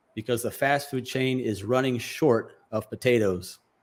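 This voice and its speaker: In an American accent, the speaker uses a normal speaking voice at a fairly slow pace. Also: man. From United States. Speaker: English teacher. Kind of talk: news article read aloud.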